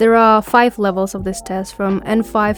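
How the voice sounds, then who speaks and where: A woman speaks at a moderate pace with a Kyrgyz accent and a fairly high pitch. Noticeable background noise is present. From Kyrgyzstan. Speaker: podcast host, language learner. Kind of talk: podcast monologue.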